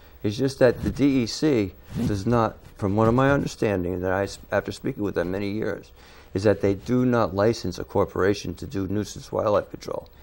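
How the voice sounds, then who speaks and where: A man speaks at a fairly quick pace with an unremarkable speaking voice. His pitch is fairly low, with ordinary pitch variation. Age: 60s. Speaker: wildlife control operator. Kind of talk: interview.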